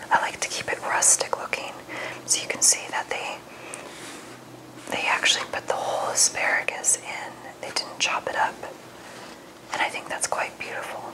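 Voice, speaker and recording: Whispering at a fairly quick pace, a woman leaves long, frequent pauses over noticeable background noise. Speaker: nutritionist and ASMR creator. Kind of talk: ASMR cookbook review, whispered relaxation talk.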